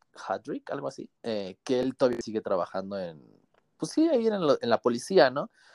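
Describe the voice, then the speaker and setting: A man talks at a fairly quick pace, his pitch swinging very widely. The sound is dry and close with no echo over a quiet background. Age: 20s. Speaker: metro train driver and book influencer. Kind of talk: casual chat.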